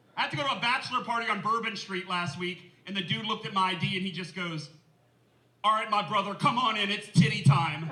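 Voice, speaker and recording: The voice is raised and projected, moving at a very fast pace with ordinary pitch variation. Noticeable background noise and audible room echo surround it. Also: man, high pitch for a man. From New Orleans, Louisiana. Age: 30s. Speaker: comedian. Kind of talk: stand-up. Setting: stage with audience. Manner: animated.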